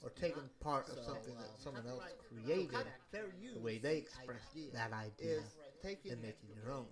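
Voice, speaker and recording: Lively intonation and a moderate pace come through despite noticeable background noise. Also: man, medium pitch for a man. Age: 40s. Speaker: streamer and writer. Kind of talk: casual livestream talk. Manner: halting, many fillers.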